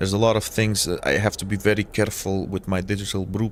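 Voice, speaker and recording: A man speaks with a Portuguese accent. His pitch is fairly low. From Portugal. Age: 30s. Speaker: gaming streamer. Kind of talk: casual live stream chat. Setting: live stream. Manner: hesitant, many fillers.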